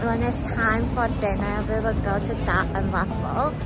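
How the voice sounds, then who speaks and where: Clear music plays in the background as a woman speaks at a fairly slow pace in a dry sound with no echo. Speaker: travel vlogger. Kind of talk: casual vlog chat. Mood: excited, cheerful. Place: street.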